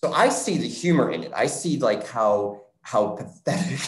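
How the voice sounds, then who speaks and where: A man speaks with an American accent at a fairly slow pace. There is audible room echo against a quiet background. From Scranton, Pennsylvania; Pennsylvania. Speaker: theatre artist and choreographer; panelist. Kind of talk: interview conversation. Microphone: video call.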